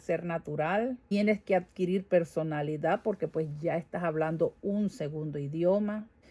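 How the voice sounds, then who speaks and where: Speaking at a moderate pace with a Venezuelan accent, a woman has a dark, mellow tone and lively intonation. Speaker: vlogger. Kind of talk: casual vlog monologue. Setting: home garage.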